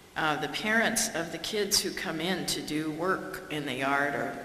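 A woman speaks with a very deep, low pitch and ordinary pitch variation. Audible room echo and light background noise surround her voice. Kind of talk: public talk. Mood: warm, wry humour. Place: hall. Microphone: podium.

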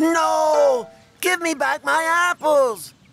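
A high-pitched, put-on character voice carries the clip. Faint music plays in the background. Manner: shouting in distress.

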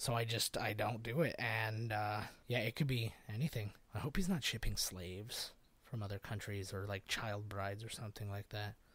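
On a very clean recording with a silent background, a man with a Canadian accent and an ordinary speaking voice talks at a moderate pace in a fairly low pitch, his intonation fairly even. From Canada. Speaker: podcast host. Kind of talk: casual solo chat.

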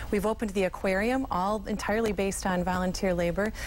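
Against light background noise, a woman talks at a fairly quick pace with fairly even intonation. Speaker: nonprofit conservancy president. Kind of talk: TV news interview. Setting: live remote TV interview. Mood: earnest, upbeat advocacy. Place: studio. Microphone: lapel.

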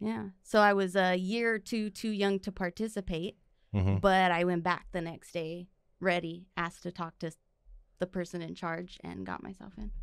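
A woman with a fairly low pitch talks at a moderate pace with fairly even intonation. The sound is dry with no echo, over a quiet background. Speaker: podcast guest. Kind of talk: interview answer. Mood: relaxed, friendly. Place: studio. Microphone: studio mic.

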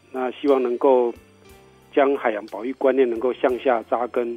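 Over music in the background, a man speaks at a moderate pace and medium pitch. His intonation is monotone and flat. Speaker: government ocean conservation official, interview guest. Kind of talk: radio interview answer, informative explanation.

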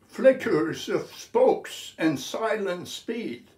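The pace is very slow, with audible room echo. The background is quiet. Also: man. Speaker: poet. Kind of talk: poetry reading. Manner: slow, measured, contemplative delivery. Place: home room. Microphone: phone near.

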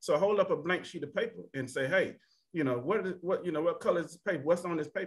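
Over a quiet background, a man talks at a very fast pace with a high pitch, ordinary pitch variation, and big swings in loudness. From Alabama (Tuskegee); Alabama. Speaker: panelist. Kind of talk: panel discussion. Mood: earnest, personal. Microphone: video call.

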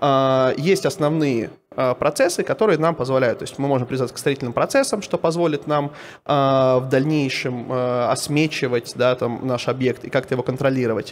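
There is light background noise as a man speaks at a moderate pace with ordinary pitch variation. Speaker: BIM company CEO; conference presenter. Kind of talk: conference talk. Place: hall. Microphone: handheld.

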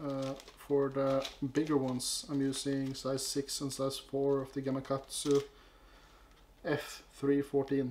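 Amid light background noise, a man with a Norwegian accent speaks very slowly in a fairly high, monotone, flat voice, with long, frequent pauses. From Norway. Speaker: fly-tying youtuber. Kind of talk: tutorial. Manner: halting. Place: home room.

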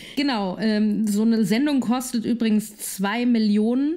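This woman's fairly high voice has a dark, mellow tone and lively intonation. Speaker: podcast co-host. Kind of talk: casual chat. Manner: giggly, playful.

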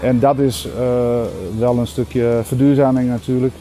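Light background noise under a man speaking at a moderate speed. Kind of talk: interview answer. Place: street. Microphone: lapel.

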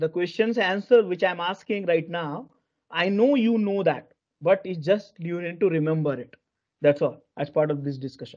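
Over a quiet background, a man speaks at a moderate pace and a high pitch with ordinary pitch variation. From India. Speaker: corporate software trainer. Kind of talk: live online training lecture. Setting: video call. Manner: halting, many fillers and repetitions. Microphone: video call.

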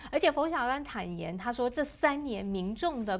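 With lively intonation, a woman talks at a fairly slow speed. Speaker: livestream health show host. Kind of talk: interview. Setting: studio. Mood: concerned, sympathetic. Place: studio. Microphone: lapel.

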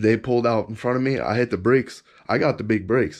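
The background stays quiet. Against it, a man talks at a moderate speed. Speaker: car enthusiast vlogger. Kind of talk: casual vlog chat. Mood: disappointed, recounting a crash. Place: garage. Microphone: phone near.

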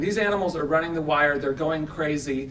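Light background noise is present. A man is talking. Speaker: speaker. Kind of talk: conference talk. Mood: earnest, persuasive advocacy. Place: hall. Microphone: podium.

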